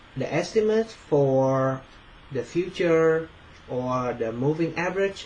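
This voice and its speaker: This speaker talks at a fairly slow pace with a non-native accent. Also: man. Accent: non-native English pronunciation. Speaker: finance student. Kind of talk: presentation. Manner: halting, many fillers.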